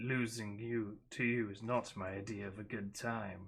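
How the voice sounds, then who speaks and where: A man's put-on character voice, fairly low in pitch, at a moderate pace with monotone, flat intonation. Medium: read story. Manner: purring, flirtatious.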